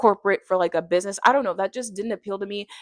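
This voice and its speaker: A woman of medium pitch with a South Florida accent, in dry, close sound with no echo and a quiet background. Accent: American, South Florida. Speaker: vlogger. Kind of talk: casual vlog monologue. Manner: fast.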